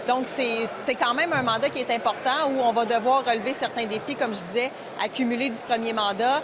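Noticeable background noise behind a woman with a high pitch, fairly even intonation and a fairly quick pace. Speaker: government minister. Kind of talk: interview answer. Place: hall. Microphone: handheld.

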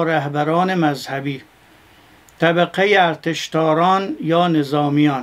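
Speaking at a very slow pace, a man uses a high pitch and fairly even intonation. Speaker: cleric lecturer. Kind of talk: lecture. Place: studio.

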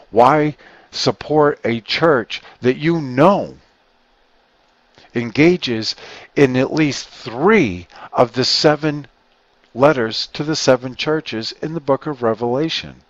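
A man's medium-pitched voice at a slow pace, with ordinary pitch variation and a dry, close sound with no echo

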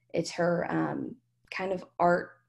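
A woman's fairly low voice with a Southern US accent. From Kentucky. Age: 20s. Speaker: student activist. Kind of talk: oral history interview.

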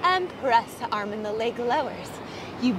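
There is noticeable background noise as a woman speaks at a moderate pace. The sound itself is dry, with no echo. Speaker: fitness instructor. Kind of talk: workout instruction. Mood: calm, encouraging.

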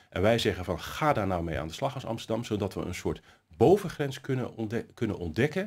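A man talks at medium pitch and a fairly quick pace, somewhat breathy, over a quiet background. His pitch swings very widely. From Netherlands, Nieuwkoop; Netherlands. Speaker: city councillor. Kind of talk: interview. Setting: studio. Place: hall.

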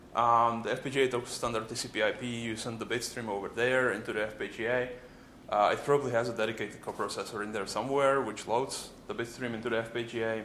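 A man's bright, sharp voice in a flat monotone, with audible room echo and light background noise. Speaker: embedded software engineer. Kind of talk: conference talk. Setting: stage with audience. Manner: fast talker. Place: classroom.

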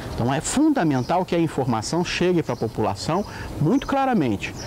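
The pitch swings very widely at a moderate pace. Light background noise sits behind the voice. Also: man. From Porto Alegre, Rio Grande do Sul, Brazil. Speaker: environmental activist and editor. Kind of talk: interview answer. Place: garden.

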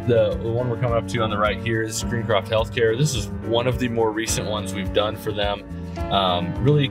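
Clear music plays in the background. A man talks over it at a fairly quick pace. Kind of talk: casual ride-along commentary. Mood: friendly, proud. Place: car.

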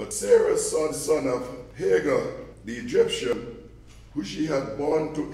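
Audible room echo surrounds a man speaking at a fairly slow pace. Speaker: scripture reader. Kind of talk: scripture reading. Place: church.

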